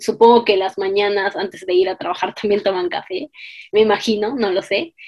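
A woman at a medium pitch, moderate pace and fairly even intonation. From Peru (Cusco, Arequipa). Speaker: postdoctoral researcher and lecturer. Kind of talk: interview. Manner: halting.

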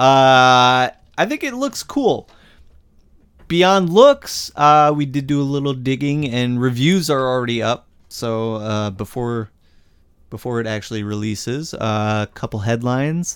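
An unremarkable speaking voice from a man at medium pitch, on a very clean recording with a silent background. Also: ordinary pitch variation. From Indiana, US Midwest. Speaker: horror podcast co-host. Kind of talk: casual chat.

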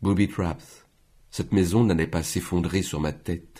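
At a fairly slow pace, a man speaks in a dark, mellow tone with a very deep, low pitch. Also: very clean recording, silent background. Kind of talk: audiobook reading. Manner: measured, slow, unhurried literary narration.

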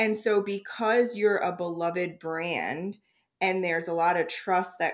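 This woman has a plain, everyday voice at medium pitch with ordinary pitch variation. She speaks at a fairly slow pace on a very clean recording with a silent background. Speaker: podcast host. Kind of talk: casual chat.

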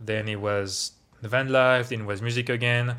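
In a French accent, a man speaks at a moderate pace with monotone, flat intonation. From France, Paris area. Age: 20s. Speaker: tech worker and DJ. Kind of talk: casual interview.

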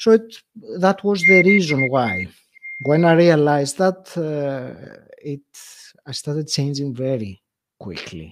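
Speaking with a Greek accent, a man uses a fairly high pitch and lively intonation at a fairly slow pace, with long, frequent pauses. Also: big swings in loudness. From Greece. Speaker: podcast host. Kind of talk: interview storytelling.

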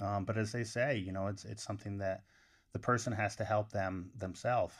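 Against a quiet background, a man with a plain, everyday voice talks at a fairly quick pace, fairly low in pitch and with fairly even intonation. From upstate New York. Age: 40s. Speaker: college wrestling coach. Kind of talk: podcast interview.

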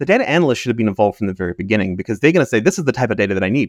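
The sound is dry and close with no echo as a man with a New Zealand accent speaks at a medium pitch. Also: quiet background. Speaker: chief data officer. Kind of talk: interview.

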